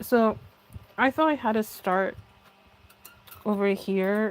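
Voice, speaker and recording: A soft-spoken woman talks, her pitch varying in an ordinary way. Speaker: craft live streamer. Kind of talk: live stream tutorial.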